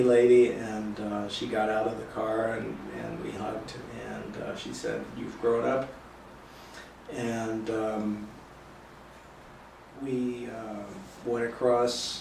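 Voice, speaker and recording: A man with a General American accent at medium pitch, very slow and monotone with flat intonation, long, frequent pauses, and noticeable background noise. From northern Colorado, USA. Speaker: mixed-race adoptee. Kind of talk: oral history interview answer.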